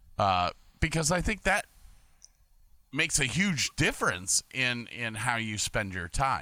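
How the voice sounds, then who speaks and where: A man with an American accent and a bright, sharp tone speaks at a fairly slow pace from a medium pitch, swinging very widely in pitch and leaving long, frequent pauses, all in a dry, close sound with no echo on a very clean, silent-background recording. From Medina, Ohio. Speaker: podcaster, former cruise ship lighting technician and Navy sailor. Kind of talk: casual chat. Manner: halting, many repetitions.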